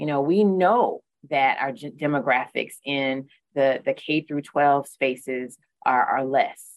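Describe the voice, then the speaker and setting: This woman talks at a very slow pace with ordinary pitch variation and a very deep, low pitch. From South Carolina, Newberry County. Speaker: community college president. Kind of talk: interview.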